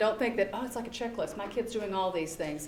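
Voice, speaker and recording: A woman talks in a Southern US accent with ordinary pitch variation. Audible room echo and noticeable background noise surround her. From US South. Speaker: psychology researcher. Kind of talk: public talk.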